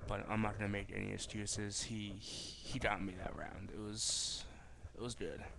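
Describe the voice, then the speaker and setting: Quiet speech at a moderate pace comes through noticeable background noise. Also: man. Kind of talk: casual talk to camera. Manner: rambling, hesitant.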